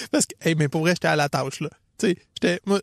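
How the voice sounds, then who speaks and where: Here a man speaks with a Quebec accent and a high pitch. His pitch varies in an ordinary way, and the sound is dry and close with no echo. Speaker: running coach and podcast co-host. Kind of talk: casual chat.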